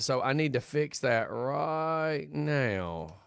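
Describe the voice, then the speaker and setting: In a Southern US accent, a man speaks with very wide pitch swings on a very clean recording with a silent background. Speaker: radio host. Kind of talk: casual chat.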